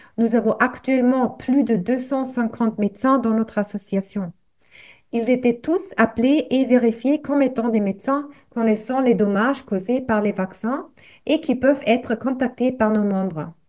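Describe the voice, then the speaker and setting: With a German accent, a woman speaks at a high pitch and a fairly slow pace with ordinary pitch variation. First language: German (speaking French). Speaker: activist, association representative. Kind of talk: reading aloud. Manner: halting.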